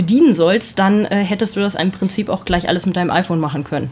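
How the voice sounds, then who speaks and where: Somewhat breathy, a woman talks at a very fast pace in a medium pitch. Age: 30s. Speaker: photojournalist. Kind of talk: casual chat.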